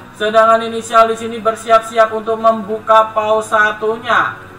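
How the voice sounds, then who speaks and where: An animated man at a fairly slow pace, with audible room echo and music in the background. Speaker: esports caster. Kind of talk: live esports commentary. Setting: live stream. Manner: animated, casual, chatty toward viewers. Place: home room.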